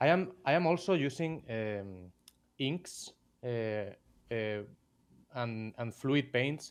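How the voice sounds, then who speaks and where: A man speaks with a Spanish accent at a medium pitch and ordinary pitch variation. The background is quiet. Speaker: miniature painter. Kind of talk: live stream tutorial. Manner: halting.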